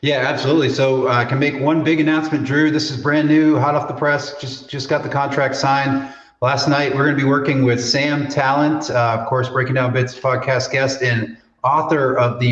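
A man talks at a fairly quick pace with hardly any pauses, using a fairly high, monotone voice with flat intonation, over noticeable background noise. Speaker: podcast host. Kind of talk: casual interview chat.

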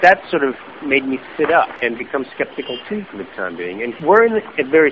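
A fairly high male voice with very wide pitch swings over noticeable background noise. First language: German. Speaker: journalist and author. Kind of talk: podcast interview. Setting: remote call.

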